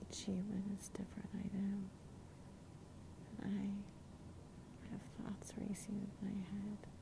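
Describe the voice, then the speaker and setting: The words come out very slowly, with noticeable background noise behind them. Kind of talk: soothing ASMR monologue addressed to an insomniac listener. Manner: whispered, soft, intimate.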